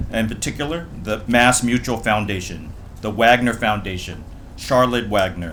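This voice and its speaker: With audible room echo, a man speaks at a moderate pace in a fairly low voice with ordinary pitch variation. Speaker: ceremony emcee. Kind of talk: ceremony speech.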